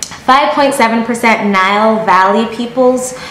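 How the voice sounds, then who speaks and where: The speaker has a General American accent. Light background noise and audible room echo are present. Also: woman. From Connecticut, US (born in Jamaica). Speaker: YouTuber. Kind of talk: casual vlog talk to camera. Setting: sit-down video at home. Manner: animated. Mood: playful, amused. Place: home room. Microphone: phone near.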